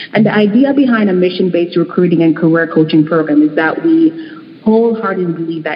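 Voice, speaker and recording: A woman speaks at a fairly quick pace in a medium-pitched voice, with music playing in the background. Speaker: nonprofit leader. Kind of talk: panel discussion.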